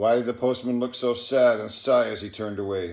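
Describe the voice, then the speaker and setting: An unremarkable speaking voice from a man, medium in pitch with fairly even intonation, in a very clean recording with a silent background. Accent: Canadian. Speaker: poetry reader. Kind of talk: reading aloud.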